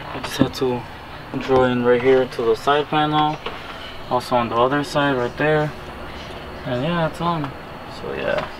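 Amid noticeable background noise, a man talks at a moderate pace with fairly even intonation. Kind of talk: casual vlog chat. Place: garage. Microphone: phone near.

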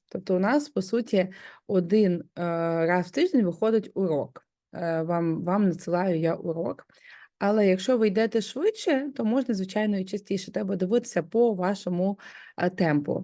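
Against a quiet background, a woman with a medium pitch and a dark, mellow tone talks at a moderate pace with ordinary pitch variation. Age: 30s. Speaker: home organizing coach. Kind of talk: course promo talk.

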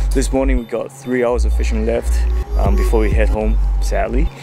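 With clear music in the background, a man speaks at a moderate pace in a dry sound with no echo. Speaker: fishing channel host. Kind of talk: casual vlog chat. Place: waterside. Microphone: phone near.

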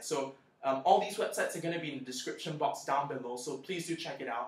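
Audible room echo carries a man's bright, sharp tone. His pitch is fairly high, with ordinary pitch variation. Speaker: scholarship applicant sharing tips on video channel. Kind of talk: tutorial. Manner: casual with frequent fillers. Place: home room. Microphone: webcam.

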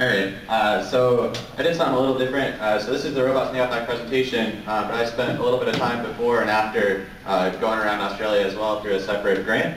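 A man of medium pitch speaks at a very fast pace with hardly any pauses and fairly even intonation. Audible room echo and light background noise are present. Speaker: robotics mentor, works for space agency; presenter. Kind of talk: presentation. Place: hall. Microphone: camera far.

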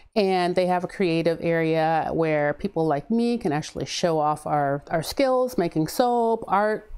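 The tone is dark and mellow, and the pitch varies in an ordinary way. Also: woman. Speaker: soap maker. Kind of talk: casual talk to camera. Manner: fast.

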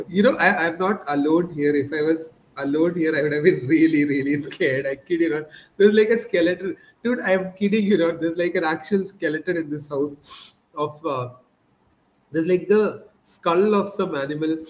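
A man with a high-pitched voice speaks at a moderate pace, showing ordinary pitch variation. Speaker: market analyst show host. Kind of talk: commentary. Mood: joking, then analytical. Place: home room.

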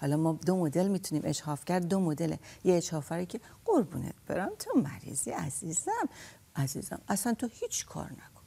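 Somewhat breathy and dark, mellow in tone, a woman's fairly low voice moves at a fairly quick pace with lively intonation. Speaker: counselor. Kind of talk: radio talk show. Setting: studio. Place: studio.

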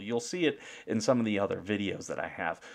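A man speaks at a moderate pace in a fairly low voice. The background is quiet. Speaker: veteran with a service dog. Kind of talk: casual commentary to camera. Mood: aggrieved but calm. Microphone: webcam.

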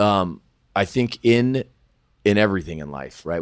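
A man speaks with an American accent. The background is quiet. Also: dry sound with no echo. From California (Sacramento, Thousand Oaks); California. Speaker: sports agent; podcast guest. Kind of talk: casual interview chat. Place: office. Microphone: studio mic.

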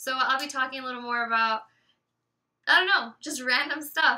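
Fairly quick and raised, this woman's projected voice sits high in pitch, with a bright, sharp tone and ordinary pitch variation. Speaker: celebrity gossip vlogger. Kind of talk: casual vlog talk to camera. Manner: fast. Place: home room. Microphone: webcam.

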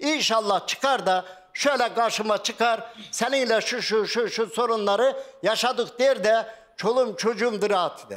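A man's extremely high pitch at a fairly slow pace with fairly even intonation. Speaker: retired farmer, husband of missing woman. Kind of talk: TV talk show testimony. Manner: emotional, repetitive. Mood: upset, defensive, pleading. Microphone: lapel.

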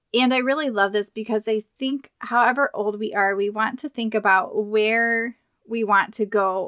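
Recorded dry and close with no echo, a woman speaks at a fairly high pitch with a bright, sharp tone. Her pace is moderate and her pitch variation ordinary. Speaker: podcast host and health coach. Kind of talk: podcast intro read.

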